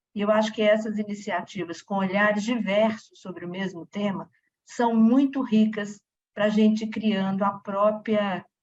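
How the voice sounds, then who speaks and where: This woman speaks at medium pitch, somewhat breathy. Her intonation is monotone and flat. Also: fairly slow pace. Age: 60s. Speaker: audience participant. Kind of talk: audience comment at a talk. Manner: halting.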